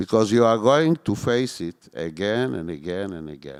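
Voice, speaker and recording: Here a man talks in an Israeli accent with lively intonation. His pace is fairly slow. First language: Hebrew. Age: 60s. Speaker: former security service chief. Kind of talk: onstage interview. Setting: stage with audience.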